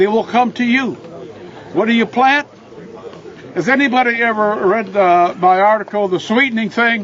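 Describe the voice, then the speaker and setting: A man with a high pitch talks at a moderate pace with ordinary pitch variation, over noticeable background noise. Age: 80s+. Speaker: deer habitat expert. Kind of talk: outdoor tour talk.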